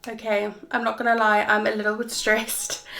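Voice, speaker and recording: Over noticeable background noise, a woman with a South African accent speaks at a moderate pace in a fairly high pitch. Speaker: travel vlogger. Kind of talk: vlog monologue.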